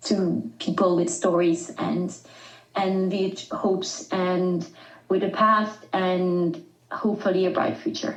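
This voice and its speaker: Very slow speech from a woman, audible room echo around it. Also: medium pitch for a woman, ordinary pitch variation. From southern France. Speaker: rescue charity communications manager. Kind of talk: podcast interview. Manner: halting.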